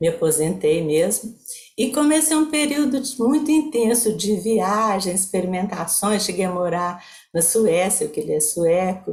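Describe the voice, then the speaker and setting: A woman with a medium-pitched, somewhat breathy voice speaks at a fairly slow pace with very wide pitch swings. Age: 70s. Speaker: psychologist. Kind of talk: online talk with slide presentation.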